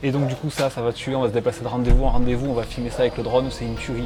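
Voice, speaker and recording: Noticeable background noise surrounds a man talking with a Marseille accent. His pitch varies in an ordinary way. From Marseille, southern France. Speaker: videographer and vlogger. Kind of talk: vlog narration. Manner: casual, hesitant fillers.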